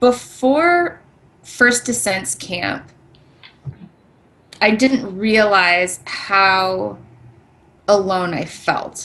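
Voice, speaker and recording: Speaking very slowly with long, frequent pauses, a woman uses a medium pitch and lively intonation. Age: 30s. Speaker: brain cancer survivor podcast co-host. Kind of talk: casual chat.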